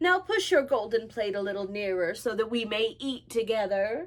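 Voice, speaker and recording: A woman uses a put-on character voice, fairly high in pitch, at a moderate pace. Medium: read story. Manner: old-fashioned formal speech.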